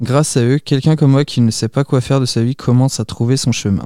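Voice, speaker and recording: A man at medium pitch with a dark, mellow tone, a fairly quick pace and flat, monotone intonation, on a very clean recording with a silent background. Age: 20s. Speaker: civic service volunteer, care home activity assistant. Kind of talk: scripted narration.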